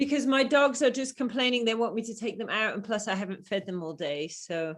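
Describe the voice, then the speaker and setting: A woman with an English accent speaks fairly quickly at a fairly high pitch. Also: lively intonation. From England. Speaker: program participant. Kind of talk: casual chat. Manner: animated.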